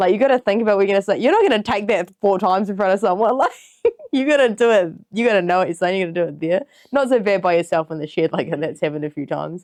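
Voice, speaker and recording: Lively intonation and a very fast pace mark this woman's medium-pitched voice in a New Zealand accent. The sound is dry and close with no echo, over a quiet background. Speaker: podcast host. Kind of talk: casual chat.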